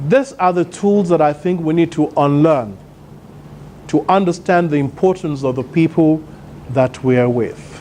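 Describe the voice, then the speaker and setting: Moderate pace against noticeable background noise. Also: man, fairly high pitch for a man, ordinary pitch variation. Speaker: motivational speaker. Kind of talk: conference keynote speech. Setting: stage with audience. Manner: loud.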